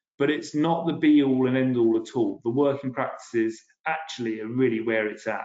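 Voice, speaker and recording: A medium-pitched man with a British accent, a fairly quick pace and ordinary pitch variation. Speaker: policy director presenting a webinar. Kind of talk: webinar presentation. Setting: video webinar. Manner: fast; hesitant, with fillers and restarts.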